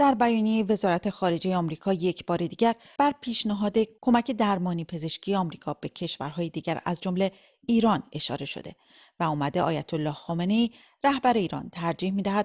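In a quiet background, a woman with an ordinary speaking voice talks at a moderate pace, her medium pitch carried by lively intonation. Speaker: radio reporter. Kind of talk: news reading. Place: studio. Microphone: studio mic.

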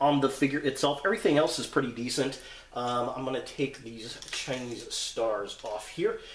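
Light background noise and audible room echo are present. A man talks at a moderate pace. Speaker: toy reviewer. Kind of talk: product review commentary.

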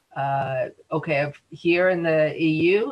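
A woman speaks in a very deep, low voice. It sounds somewhat breathy. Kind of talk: webinar presentation. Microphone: video call.

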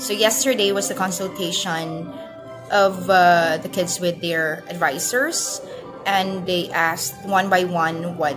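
Over music in the background, a woman speaks at a fairly slow pace. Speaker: working mother vlogger. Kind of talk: casual vlog chat. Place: home room. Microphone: phone near.

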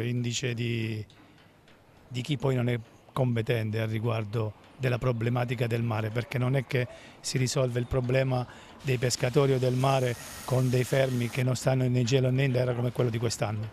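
A man talks at a moderate pace in a monotone, flat intonation. The recording is dry with no echo, with light background noise. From Abruzzo, Italy. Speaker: fishing industry representative. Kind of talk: interview. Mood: critical, frustrated. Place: waterside. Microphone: handheld.

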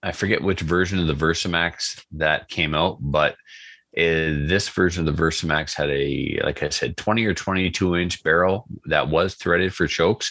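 Over a quiet background, a man with a Canadian accent speaks at a moderate pace in a very deep, low pitch, his tone bright and sharp, intonation fairly even and loudness very even. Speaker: podcast host. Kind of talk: casual chat.

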